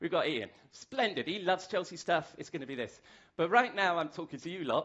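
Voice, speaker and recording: A high-pitched man with a British accent, fairly quick and lively in intonation. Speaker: masterclass speaker. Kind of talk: lecture. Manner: fast.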